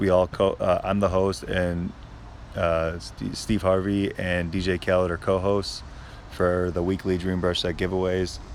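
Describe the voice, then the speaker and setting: A man speaks quietly at a fairly slow pace, his pitch very deep and low. He has an American accent. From Chicago suburbs. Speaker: social media creator. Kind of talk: live stream Q&A. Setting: outdoors. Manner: halting.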